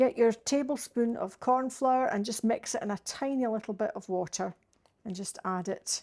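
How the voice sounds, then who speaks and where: On a very clean recording with a silent background, a woman speaks slowly at a fairly high pitch, keeping a fairly slow pace. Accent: Scottish. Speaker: home cook. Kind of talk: cooking demonstration to camera. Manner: casual, homely.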